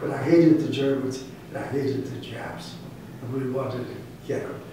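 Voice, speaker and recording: A man with an American accent talks at a moderate pace in a fairly high pitch with ordinary pitch variation. Noticeable background noise and audible room echo surround him. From New York City, Brooklyn. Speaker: war veteran. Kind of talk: interview.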